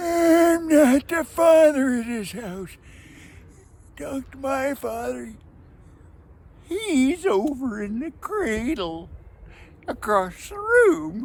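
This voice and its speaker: A put-on character voice comes in high, with very wide pitch swings. The pace is very slow, with long, frequent pauses. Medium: read story.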